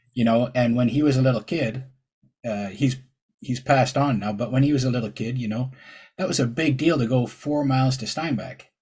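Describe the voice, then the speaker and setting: At a fairly quick pace, a man speaks in a somewhat breathy, medium-pitched voice with fairly even intonation. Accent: Ontario. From Ontario, Canada. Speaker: podcast host and truck driver. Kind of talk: casual interview chat. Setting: podcast interview.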